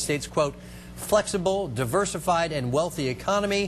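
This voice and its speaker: Over noticeable background noise, a man speaks at a fairly high pitch. His pace is fairly quick. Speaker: TV news anchor and field reporter. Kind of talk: TV news anchor read.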